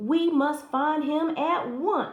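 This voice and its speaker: Putting on a character voice, a woman talks at a high pitch. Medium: read story.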